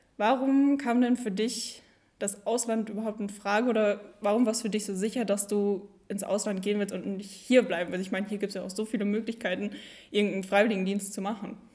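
Her intonation fairly even, a woman speaks in an unremarkable speaking voice. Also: medium pitch for a woman, fairly quick pace. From Germany, East Westphalia. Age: young. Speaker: federal volunteer service worker. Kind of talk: casual chat.

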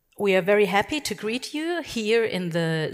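Speaking in a German accent, a woman talks at a moderate pace with very wide pitch swings. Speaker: festival moderator and filmmaker. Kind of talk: interview. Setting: stage with audience.

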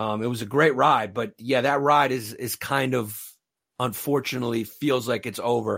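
A man with a New York accent speaks at a moderate pace, his medium-pitched voice carrying fairly even intonation. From Brooklyn, New York. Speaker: stand-up comedian. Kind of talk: casual interview chat. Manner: joking, self-deprecating.

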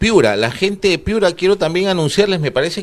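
A man speaks over noticeable background noise. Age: 40s. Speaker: TV host. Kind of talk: TV interview show.

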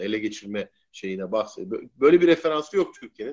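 A man talks fairly quickly, his intonation lively. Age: 50s. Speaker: futurist columnist and blogger. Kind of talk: live-stream interview. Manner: hesitant, many fillers.

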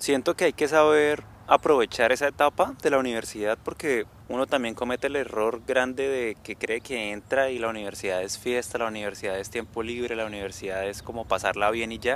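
Hardly pausing, a man talks at a fairly quick pace with ordinary pitch variation. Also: medium pitch for a man. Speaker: podcast co-host. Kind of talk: casual chat. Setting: outdoors.

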